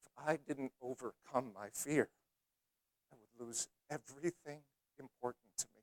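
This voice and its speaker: A man of medium pitch speaks at a moderate pace with ordinary pitch variation, big swings in loudness and long, frequent pauses, in a dry, close sound with no echo. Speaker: motivational speaker. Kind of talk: speech contest keynote. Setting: live audience. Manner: energetic.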